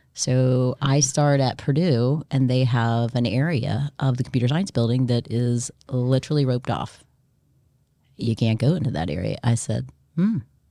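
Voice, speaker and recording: A woman with an American accent speaks at a moderate pace in a very deep, low voice with a dark, mellow tone and ordinary pitch variation. The recording is very clean, with a silent background. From US South, South Florida (Coral Springs). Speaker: nonprofit executive director. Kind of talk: interview.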